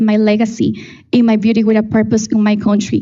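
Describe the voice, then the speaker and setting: A woman with a fairly high pitch talks at a moderate pace, her voice carrying audible room echo. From Ecuador. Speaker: beauty pageant contestant. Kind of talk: prepared presentation speech.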